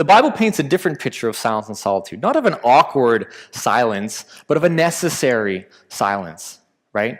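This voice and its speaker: Here a man speaks with a Canadian accent. His pitch swings very widely. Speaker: pastor. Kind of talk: sermon. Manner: fast.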